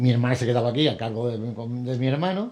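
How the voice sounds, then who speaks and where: A man with an Andalusian accent speaks at a fairly quick pace and a medium pitch. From Andalusia, Axarquía (Vélez-Málaga). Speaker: businessman. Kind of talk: TV interview.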